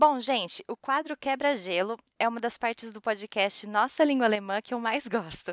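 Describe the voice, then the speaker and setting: In a plain, everyday voice, a woman speaks at a moderate pace and fairly high pitch, with ordinary pitch variation, hardly any pauses and big swings in loudness. The sound is dry and close with no echo, the recording very clean over a silent background. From Brazil. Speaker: podcast host. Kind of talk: casual chat.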